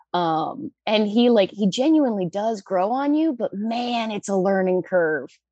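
With an American accent, a woman speaks in a normal speaking voice at medium pitch, fairly slowly and with lively intonation, the sound dry and close with no echo. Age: 20s. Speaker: caller seeking relationship advice. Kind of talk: advice call. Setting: phone call.

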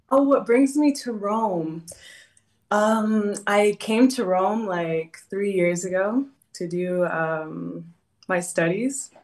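With an American accent, a woman speaks at a very slow pace. Her medium pitch carries lively intonation. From California. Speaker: caller seeking relationship advice. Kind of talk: casual chat. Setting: video call. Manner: halting.

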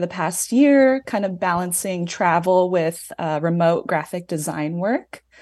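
A woman's fairly low voice at a fairly slow pace, with hardly any pauses and a quiet background. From United States. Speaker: caller. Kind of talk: advice call.

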